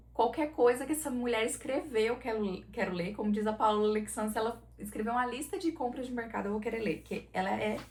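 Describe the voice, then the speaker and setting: A woman speaks at a fairly quick pace with an animated tone and a Goiás accent. Her pitch is fairly high, with ordinary pitch variation. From southern Brazil, Santa Catarina. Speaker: book YouTuber. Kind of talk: casual book review vlog.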